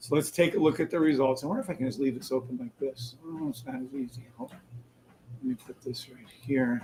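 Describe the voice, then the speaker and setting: Somewhat breathy and dark, mellow in tone, a man talks fairly quickly with big swings in loudness. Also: medium pitch for a man, fairly even intonation. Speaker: day trading livestreamer. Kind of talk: live trading stream chat.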